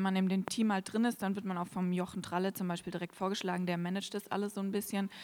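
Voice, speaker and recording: Intonation stays flat and monotone. The recording is very clean, with a silent background. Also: woman. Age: 20s. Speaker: church volunteer cook. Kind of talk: interview on stage during church service.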